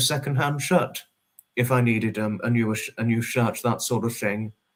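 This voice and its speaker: A man speaks with a southern English accent. His pitch is medium, with ordinary variation. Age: 20s. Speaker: livestreamer. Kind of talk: casual chat. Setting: livestream. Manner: halting.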